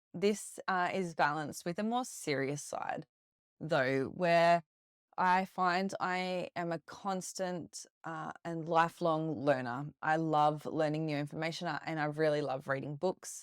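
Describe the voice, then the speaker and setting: A woman with an Australian accent speaks at a fairly slow pace in a fairly low voice with ordinary pitch variation, the sound dry and close with no echo and the recording very clean against a silent background. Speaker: podcast host; retired police officer, yoga teacher. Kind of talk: podcast monologue. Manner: warm, friendly.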